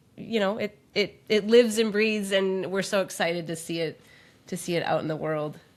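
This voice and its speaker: Medium pitch from a woman with an Upper Midwest accent, fairly even intonation, on a very clean recording with a silent background. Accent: Upper Midwest American. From Minnesota, Twin Cities. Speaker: podcast co-host and author. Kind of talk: casual chat.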